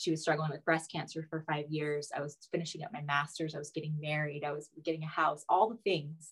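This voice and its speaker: A woman's very deep, low, somewhat breathy voice, fairly quick and with hardly any pauses, in fairly even intonation. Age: 40s. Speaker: fertility acupuncturist. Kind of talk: interview.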